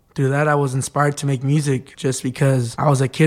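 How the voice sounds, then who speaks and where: On a very clean recording with a silent background, a man talks at a fairly quick pace in a medium-pitched, monotone, flat delivery. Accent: Spanish. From Mexico. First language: Spanish. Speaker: undocumented student. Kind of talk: personal testimony.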